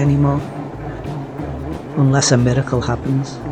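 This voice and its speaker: Music plays in the background as the voice runs in a monotone, flat intonation with audible room echo. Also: man. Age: 60s. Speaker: mountain bike vlogger. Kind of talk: scripted narration.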